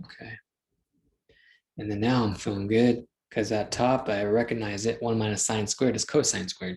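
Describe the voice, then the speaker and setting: Somewhat breathy and fairly low in pitch, a man speaks at a moderate pace with fairly even intonation and long, frequent pauses. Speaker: math teacher. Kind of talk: lecture. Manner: casual, thinking aloud.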